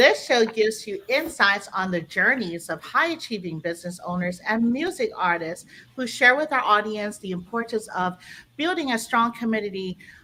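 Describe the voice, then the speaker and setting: A woman speaks at a moderate pace, her pitch fairly high. Her tone is bright and sharp, and her pitch swings very widely. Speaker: talk show host. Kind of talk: podcast interview hosting.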